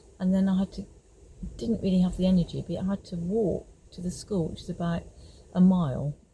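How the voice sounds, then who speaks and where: Somewhat breathy and dark, mellow in tone, a woman at a medium pitch speaks at a fairly quick pace, with big swings in loudness and long, frequent pauses. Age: 70s. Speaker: retired homeopath. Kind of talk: personal testimony. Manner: halting, with filler words.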